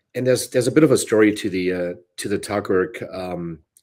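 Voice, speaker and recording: A man speaks with a German accent. His pitch is fairly low, with ordinary variation. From Bavaria, Germany. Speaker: brewery co-founder and brewer. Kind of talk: interview.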